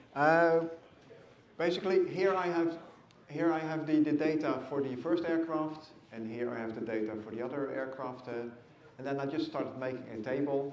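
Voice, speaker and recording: Against noticeable background noise and audible room echo, a man with a fairly high voice speaks at a moderate pace with ordinary pitch variation. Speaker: university lecturer. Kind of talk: lecture. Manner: not loud; hesitant, many fillers.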